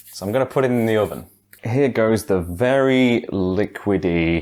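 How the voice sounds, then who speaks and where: A man's voice in a British accent. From England. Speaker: YouTuber and streamer. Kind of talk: casual talk to camera. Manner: casual, chatty.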